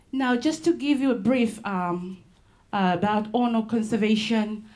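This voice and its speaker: A somewhat breathy woman at a moderate pace, with ordinary pitch variation and audible room echo. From Solomon Islands, Malaita. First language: Solomon Islands local language. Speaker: conservation ranger. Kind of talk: conference presentation. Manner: halting, many fillers.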